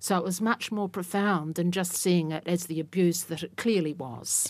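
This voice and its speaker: Recorded very cleanly against a silent background, a woman speaks at a fairly slow pace in a fairly low pitch with fairly even intonation. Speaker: university professor of English literature. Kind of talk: panel discussion. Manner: hesitant, thoughtful.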